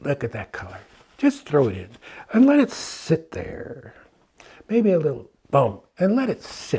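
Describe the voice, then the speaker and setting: With an American accent and vocal fry, a man speaks at a fairly slow pace in a dark, mellow tone and fairly high pitch, his pitch swinging very widely and his loudness shifting a lot, with long, frequent pauses. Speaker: painting instructor. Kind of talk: tutorial. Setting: studio. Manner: animated.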